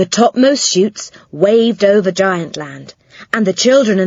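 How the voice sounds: The reading sounds natural, with normal shifts in pitch.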